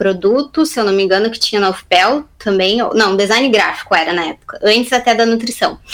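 This woman has a plain, everyday voice. Her pitch sits fairly high, with ordinary pitch variation. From southern Brazil, Camaquã (Rio Grande do Sul). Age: 20s. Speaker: digital entrepreneur. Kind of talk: casual interview chat. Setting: video call.

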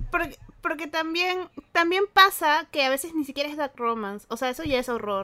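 Speaking at a moderate pace, a woman projects a raised voice at a high pitch with a bright, sharp tone and lively intonation. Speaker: podcast co-host. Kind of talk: casual chat.

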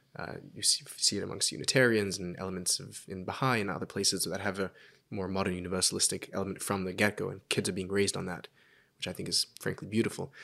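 An Australian man talks very fast at a fairly low pitch with fairly even intonation. The recording is very clean, with a silent background. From Sydney, Australia. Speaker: philosophy student and YouTube host. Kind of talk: casual interview. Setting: in-person studio recording.

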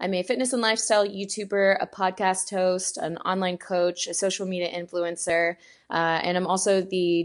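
Delivered at a moderate pace, the speech has monotone, flat intonation with an American accent. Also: woman. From Texas, Houston. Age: 20s. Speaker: fitness YouTuber and bikini competitor. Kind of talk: casual chat.

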